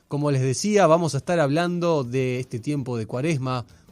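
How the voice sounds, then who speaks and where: Backed by music, a man speaks with lively intonation at a moderate pace. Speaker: radio host, interviewer. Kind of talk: radio interview questions.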